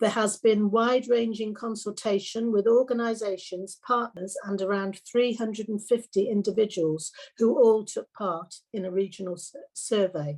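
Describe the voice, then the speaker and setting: With a Welsh accent, a woman at fairly high pitch speaks at a moderate pace with big swings in loudness. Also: fairly even intonation. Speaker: councillor. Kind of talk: formal council report presentation.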